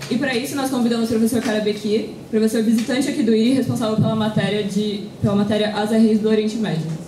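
A woman with a fairly high pitch speaks at a very fast pace, with hardly any pauses. There is audible room echo and light background noise. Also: fairly even intonation. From Brazil. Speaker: student organizer; event host introducing lecturer. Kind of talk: event introduction. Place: meeting room. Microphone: podium.

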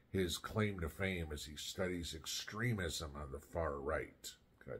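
Delivered fairly slowly, the speech has a somewhat breathy quality. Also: man. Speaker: political commentary vlogger. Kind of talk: commentary. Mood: sarcastic, indignant. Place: home room. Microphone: phone near.

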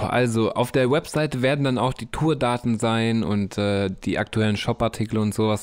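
In a very clean recording with a silent background, a man with an unremarkable speaking voice talks at a moderate pace, fairly low in pitch and with fairly even intonation. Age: 30s. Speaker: podcast host and musician. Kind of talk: casual solo podcast monologue. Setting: home studio.

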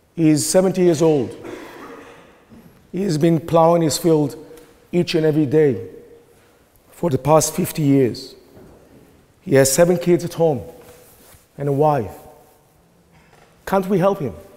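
Against noticeable background noise, a man with a fairly high pitch speaks at a moderate pace. His pitch varies an ordinary amount, and he takes long, frequent pauses. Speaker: professor. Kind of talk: formal debate speech. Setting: debating chamber with audience.

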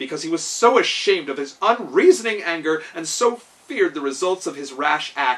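An unforced reading voice is heard throughout the recording.

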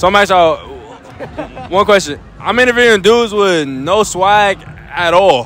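A man talks at a fairly slow pace with a high pitch, a fairly bright tone and lively intonation. Faint background noise and faint crowd noise sit behind him.

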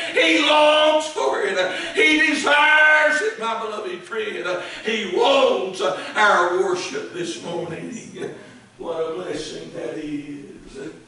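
Amid strong room echo and noticeable background noise, a man projects a raised, high-pitched voice at a very slow pace, his pitch swinging very widely. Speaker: Baptist preacher. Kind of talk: church sermon. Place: church. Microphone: camera far.

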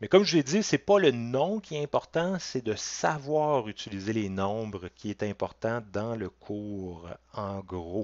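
With a Quebec accent, a man speaks very slowly at a medium pitch with lively intonation against a quiet background. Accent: Québécois French. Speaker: college math teacher. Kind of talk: lecture. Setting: recorded online class from home with webcam. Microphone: headset.

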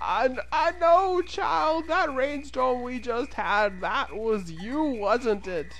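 A put-on character voice, fairly high-pitched and very slow, with hardly any pauses and clear background noise. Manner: kindly.

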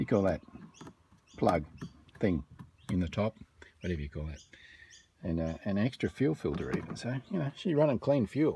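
Over light background noise, a man speaks in a somewhat breathy voice with very wide pitch swings and long, frequent pauses, the sound dry with no echo. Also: fairly low pitch for a man, moderate pace. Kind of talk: casual vlog chat. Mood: dry, joking. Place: garden. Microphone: phone near.

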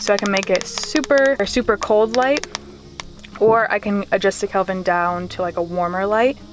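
Clear music plays behind a woman who speaks at a moderate pace with ordinary pitch variation, in a dry sound with no echo. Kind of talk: casual vlog chat. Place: car. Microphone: phone near.

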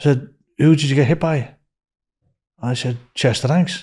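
Slightly mellow in tone with a slightly husky edge, a man speaks at a fairly slow pace. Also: medium pitch for a man, ordinary pitch variation.

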